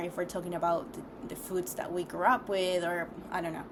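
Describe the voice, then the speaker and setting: Someone with a non-native accent talks in a space with audible room echo and noticeable background noise. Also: woman. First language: not English. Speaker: vlogger. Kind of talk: casual monologue vlog. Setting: recording alone on camera. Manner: hesitant, many fillers.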